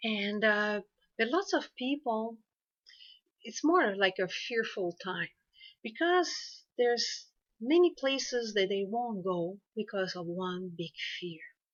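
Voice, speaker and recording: A woman with a French accent, fairly high pitch, very wide pitch swings, a very slow pace, and long, frequent pauses. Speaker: hypnotherapist. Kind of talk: informational talk to camera. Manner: halting, many fillers.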